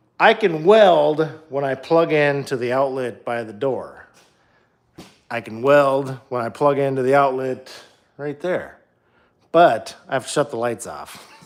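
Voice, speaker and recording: A fairly high-pitched man with an American accent, fairly slow, with long, frequent pauses. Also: ordinary pitch variation, big swings in loudness. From Minnesota, US Upper Midwest. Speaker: DIY car builder livestreamer. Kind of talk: casual livestream while working in garage. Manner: casual, filler-heavy with many ums.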